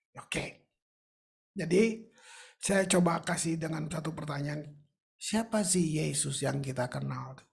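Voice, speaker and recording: Amid audible room echo, a man with vocal fry talks at a fairly slow pace in a fairly high pitch, using ordinary pitch variation and long, frequent pauses. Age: 70s. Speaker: pastor. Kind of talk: sermon. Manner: conversational, informal.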